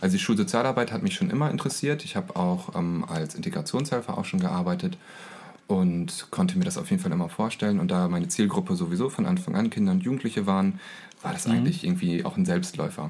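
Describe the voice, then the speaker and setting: A man rushes along at a very fast pace in a medium pitch. His pitch swings very widely. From East Frisia, northern Germany. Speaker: school social worker. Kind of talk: interview.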